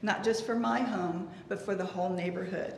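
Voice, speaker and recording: With audible room echo and noticeable background noise around her, a woman speaks rather quickly. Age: 70s. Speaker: resident applying for a variance. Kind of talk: public comment at a city planning meeting.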